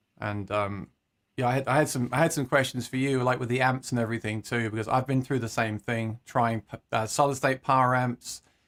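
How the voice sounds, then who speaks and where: Someone with an English accent speaks at a fairly quick pace with fairly even intonation, in a very clean, dry, close recording with no echo and a silent background. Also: man. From England, Suffolk (Leiston). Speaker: musician and YouTuber. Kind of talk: casual chat.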